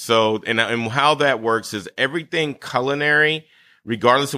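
A man's bright, sharp tone at a moderate pace, with ordinary pitch variation. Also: very clean recording, silent background. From coastal Georgia, US South. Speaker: chef and farmer. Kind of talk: interview.

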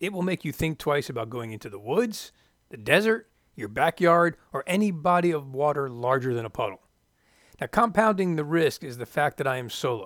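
A man's fairly high voice with very wide pitch swings and an American accent, fairly quick, dry and close with no echo, on a very clean recording with a silent background. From Florida. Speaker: podcast host, former flight test pilot. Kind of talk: scripted narration.

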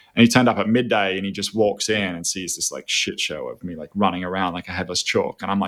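Talking at a very fast pace with hardly any pauses, a man uses fairly even intonation and a fairly low pitch. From Australia, Byron Bay (New South Wales). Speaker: food company CEO. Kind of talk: casual chat.

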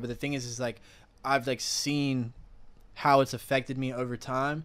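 A man in an American accent with a normal speaking voice, at a fairly quick pace, on a very clean recording with a silent background. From South Carolina, Columbia. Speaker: musician. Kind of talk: casual interview.

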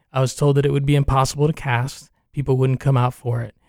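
This man speaks with a fairly high pitch, a dark, mellow tone and monotone, flat intonation. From New York, Cuban-American family. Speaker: theater artistic director. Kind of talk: radio interview.

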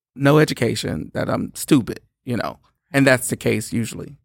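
At a moderate pace, a man with a medium-pitched voice and vocal fry uses ordinary pitch variation, recorded very cleanly against a silent background with a dry, close sound and no echo. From Louisiana, Shreveport. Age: 40s. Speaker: gospel musician. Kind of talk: casual chat. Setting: studio.

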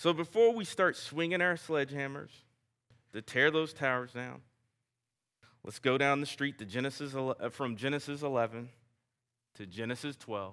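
A man with a Southern US accent speaks at a moderate pace with a bright, sharp tone, lively intonation, big swings in loudness and long, frequent pauses, on a very clean recording with a silent background. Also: fairly high pitch for a man. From US South. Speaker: guest preacher. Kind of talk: sermon. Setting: church. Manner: informal, self-deprecating.

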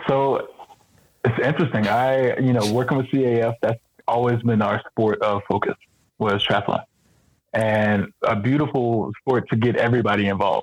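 With an ordinary speaking voice, a man talks at a moderate pace and medium pitch, with very even loudness, fairly even intonation and a dry, close sound with no echo. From San Diego, California. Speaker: Paralympic swimmer and triathlete. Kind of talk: casual interview.

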